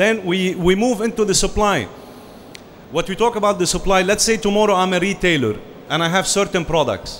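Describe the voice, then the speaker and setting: A man talks at a fairly quick clip with a high voice and ordinary pitch variation. Noticeable background noise sits under his speech. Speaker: franchise consultant. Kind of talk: business presentation.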